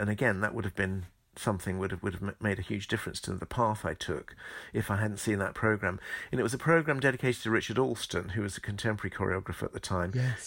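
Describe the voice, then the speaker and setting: A man's fairly low voice at a very fast pace, with a southern English accent and ordinary pitch variation, on a very clean recording with a silent background. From southeast England, Medway Towns, Kent. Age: 60s. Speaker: choreographer and former ballet dancer. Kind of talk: interview. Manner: halting.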